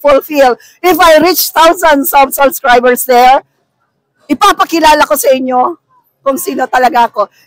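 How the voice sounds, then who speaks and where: Female speech pitched high, fairly slow, its pitch varying in an ordinary way. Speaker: vlogger and market vendor. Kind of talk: casual vlog talk. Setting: public market.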